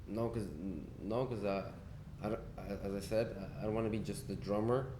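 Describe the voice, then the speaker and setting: In a room with audible echo and noticeable background noise, a man with a fairly low pitch talks at a moderate pace with ordinary pitch variation. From Spain and Argentina. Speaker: musician. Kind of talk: casual interview chat.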